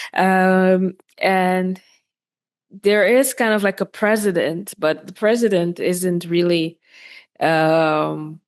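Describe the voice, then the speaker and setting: With a Dutch accent, a woman speaks at a very slow pace with long, frequent pauses. Her medium-pitched voice has fairly even intonation against a quiet background. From Netherlands. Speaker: podcast host. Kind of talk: interview. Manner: halting, many fillers.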